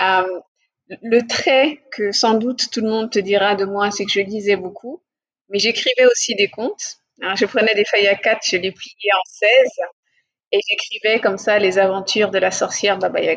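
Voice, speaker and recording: Fairly even intonation from a woman, medium in pitch and moderate in pace. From West and Central Africa (Mali, Senegal, Cameroon). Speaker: business executive. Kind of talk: interview. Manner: hesitant with fillers.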